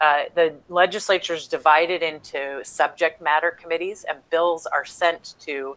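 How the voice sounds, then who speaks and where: Her pitch sits fairly low for a woman. Her intonation stays fairly even. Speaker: lobbyist. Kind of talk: tutorial. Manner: fast.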